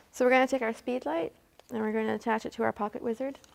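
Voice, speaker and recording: A woman speaks with a Canadian accent at a fairly high pitch. Her pace is very fast. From Canada, Hamilton Ontario. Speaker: photographer. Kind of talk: tutorial.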